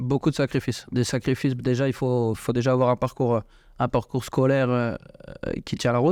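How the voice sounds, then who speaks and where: A man speaks at a fairly quick pace in a monotone, flat way, with very even loudness and a dry, close sound with no echo. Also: medium pitch for a man, very clean recording, silent background. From France, eastern France and south. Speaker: football coach. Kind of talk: radio interview. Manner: halting, repeats words.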